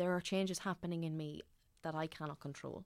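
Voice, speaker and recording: A woman speaks with an Irish accent in a very deep, low pitch and a flat, monotone delivery. The recording is very clean, with a silent background. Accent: Irish (Louth). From Ireland, Dundalk (County Louth). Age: 20s. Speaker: actor. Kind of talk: casual chat.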